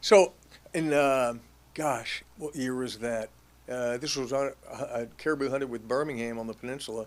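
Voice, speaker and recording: In a very clean recording with a silent background, a man with an American accent uses a normal speaking voice and ordinary pitch variation. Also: medium pitch for a man, moderate pace. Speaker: hunter and wealth planner. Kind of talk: casual interview chat.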